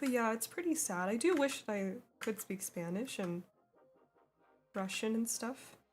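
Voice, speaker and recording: With an American accent, a woman speaks at a fairly high pitch with lively intonation at a moderate pace, leaving long, frequent pauses. Music plays in the background. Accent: very American. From immigrant, raised in US. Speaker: artist streamer. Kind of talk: casual livestream chat reading comments. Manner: animated.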